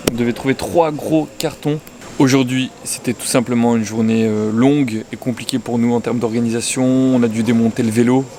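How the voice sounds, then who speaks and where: A man talks at a moderate pace in a monotone, flat intonation. Noticeable background noise is present. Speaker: travel vlogger, long-distance cyclist. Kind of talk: travel vlog narration. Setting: outdoors; airport. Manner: casual, slangy; loud.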